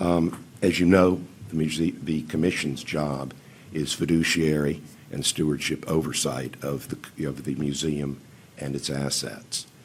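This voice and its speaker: A fairly slow delivery with fairly even intonation and audible room echo. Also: man, very deep, low pitch for a man. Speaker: museum commission chairman. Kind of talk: public testimony. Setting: county council meeting. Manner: formal.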